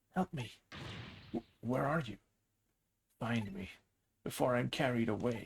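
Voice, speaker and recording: A man in a put-on character voice, medium in pitch, at a moderate pace with long, frequent pauses. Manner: pleading.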